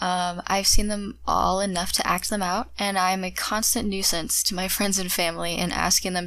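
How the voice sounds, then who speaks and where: A woman with an American accent, medium pitch and fairly even intonation at a moderate pace, in a very clean recording with a silent background. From US Midwest, Ohio. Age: young. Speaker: podcaster, university student. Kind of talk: scripted monologue.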